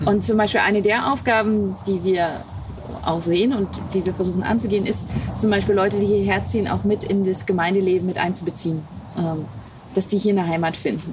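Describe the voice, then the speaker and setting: With long, frequent pauses, very even loudness and fairly even intonation, the speaker keeps a fairly quick pace against noticeable background noise. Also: woman, medium pitch for a woman. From Wittenberg, Saxony-Anhalt, Germany. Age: young. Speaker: pastor. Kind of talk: interview. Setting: outdoors, parsonage garden.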